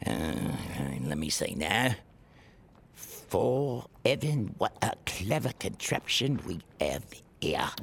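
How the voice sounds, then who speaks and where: A man uses a put-on character voice at a medium pitch, speaking at a very slow pace with long, frequent pauses. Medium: audio drama. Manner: gruff, businesslike.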